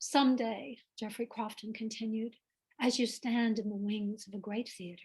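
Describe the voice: Plain reading aloud with fairly even intonation, against a quiet background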